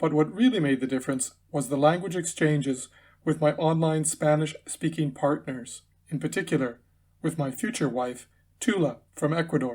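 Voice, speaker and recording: Somewhat breathy, a man speaks at a fairly high pitch. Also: ordinary pitch variation, moderate pace, very clean recording, silent background. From Canada, Winnipeg, Manitoba. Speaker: English teacher. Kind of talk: scripted narration. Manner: formal.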